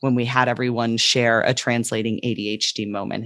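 Here a woman speaks at a very deep, low pitch. The recording is very clean, with a silent background. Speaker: podcast host and ADHD coach. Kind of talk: podcast discussion. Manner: slow, deliberate podcast delivery.

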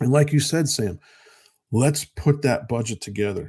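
Over a silent background in a very clean recording, a man speaks at a moderate pace in a dark, mellow, somewhat breathy tone with ordinary pitch variation. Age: 50s. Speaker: radio host and financial advisor. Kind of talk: casual radio talk.

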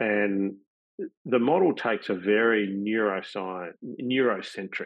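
Here a man with a fairly low pitch speaks with an Australian accent. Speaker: pain science professor. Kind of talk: webinar presentation. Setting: video call.

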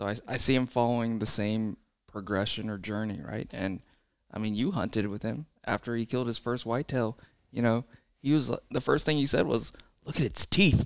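In an ordinary speaking voice, a man talks at a moderate pace and medium pitch with ordinary pitch variation, in a dry, close sound with no echo. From born in China, raised in the US. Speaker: bowhunter. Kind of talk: casual chat.

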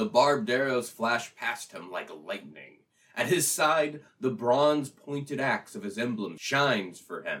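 A man at a fairly slow pace, with very wide pitch swings and big swings in loudness. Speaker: podcast guest. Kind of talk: reading aloud and casual chat. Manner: jokey, laughs often.

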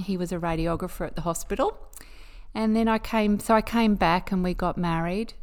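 A woman speaks with an Australian accent. Her pitch is medium and her intonation fairly even. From Queensland, Australia. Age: 50s. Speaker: nurse. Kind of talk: casual chat. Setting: at home.

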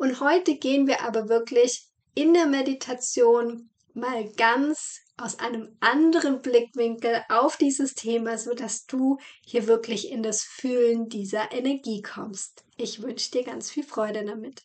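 At a fairly slow pace, a woman with a high voice speaks with ordinary pitch variation and big swings in loudness. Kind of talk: guided meditation. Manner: slow, calm and soothing, with gentle pauses for breathing; soft-spoken and warm, addressing the listener as "du".

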